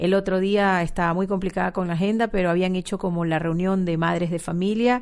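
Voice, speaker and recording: A woman at a medium pitch speaks at a fairly quick pace with fairly even intonation and hardly any pauses. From Ecuador. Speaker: marketing manager. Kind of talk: interview. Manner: hesitant with fillers.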